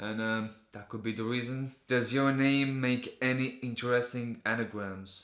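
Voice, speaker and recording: A man with a Latvian accent speaks at a moderate pace, his medium-pitched voice held to a fairly even intonation. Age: 20s. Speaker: vlogger. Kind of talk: casual vlog Q&A.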